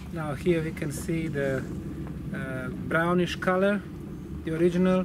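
Loud background noise fills this dry recording with no echo. A man speaks at a fairly slow pace. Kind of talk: explanatory statement to camera. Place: forest. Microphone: camera far.

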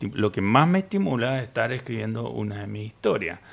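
The man's voice sits at a medium pitch. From Chile. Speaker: writer; guest. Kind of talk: panel discussion. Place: studio. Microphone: studio mic.

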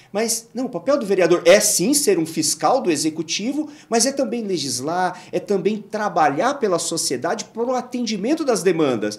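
A high-pitched man with a São Paulo accent moves at a moderate pace with hardly any pauses, his pitch swinging very widely. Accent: Brazilian Portuguese, São Paulo. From Brazil, Guarulhos (São Paulo area); São Paulo state, Brazil. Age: 40s. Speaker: engineer and local council candidate; council candidate. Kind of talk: interview. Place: studio. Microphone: studio mic.

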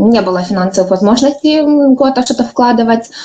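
Over light background noise, a woman uses a normal speaking voice, fairly high in pitch with ordinary pitch variation. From Ukraine. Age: 20s. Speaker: network marketing director. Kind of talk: conference talk. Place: home room. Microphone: webcam.

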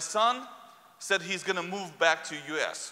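Against a quiet background, a man uses a raised, projected voice with a high pitch and ordinary pitch variation. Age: 40s. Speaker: preacher. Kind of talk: sermon. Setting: church. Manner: halting. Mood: earnest, personal storytelling. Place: church. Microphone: lapel.

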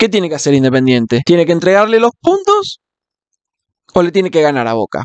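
Against a quiet background with a dry sound and no echo, a man speaks in an animated tone at a fairly quick pace, his high voice swinging very widely in pitch. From Argentina. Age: 20s. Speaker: football fan vlogger. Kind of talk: casual monologue. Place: home room. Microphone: studio mic.

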